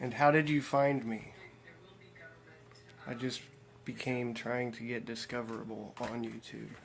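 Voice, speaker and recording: A man with an American accent speaks at a fairly slow pace in a medium pitch, with monotone, flat intonation. Long, frequent pauses break his speech, and audible room echo surrounds it. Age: 40s. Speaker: streamer. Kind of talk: casual chat. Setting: livestream.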